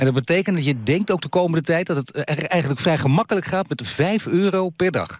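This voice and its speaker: This man talks at a fairly quick pace with hardly any pauses. His voice sits high, with ordinary pitch variation. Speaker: radio news presenter. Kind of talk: radio interview host.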